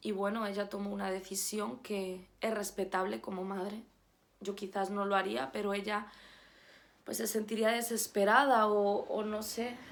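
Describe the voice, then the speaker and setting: The speaker keeps a fairly slow pace and fairly even intonation. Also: woman, medium pitch for a woman. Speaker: YouTuber sharing faith testimony. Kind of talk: personal testimony. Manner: halting, repeats words.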